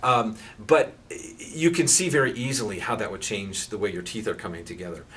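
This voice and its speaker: The speech has lively intonation. Audible room echo surrounds it. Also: man. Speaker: pain therapist. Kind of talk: educational talk. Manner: halting with many repeated words.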